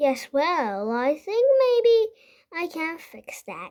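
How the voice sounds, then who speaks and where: In a put-on character voice, a woman squeaks at an extremely high pitch, very slowly, with very wide pitch swings. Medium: read story.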